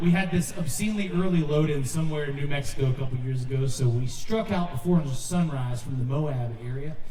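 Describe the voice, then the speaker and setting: Recorded with noticeable background noise and audible room echo, a man with an American accent speaks at a fairly quick pace, his fairly high pitch moving with ordinary variation. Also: hardly any pauses. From North Carolina, US South. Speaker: musician and interpreter. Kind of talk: stage banter and live interpreting. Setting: stage with audience at music festival.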